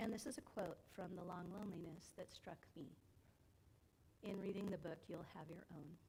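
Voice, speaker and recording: A soft-spoken woman with a fairly low, dark and mellow voice sounds somewhat breathy and leaves long, frequent pauses. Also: ordinary pitch variation, moderate pace. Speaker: adult education class leader. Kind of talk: church class talk with slides. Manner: informal, with hesitations.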